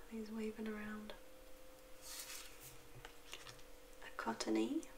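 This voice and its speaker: Noticeable background noise sits behind a soft-spoken woman. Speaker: card opening hobbyist. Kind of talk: soft-spoken ASMR card opening. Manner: soft-spoken, quiet. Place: home room.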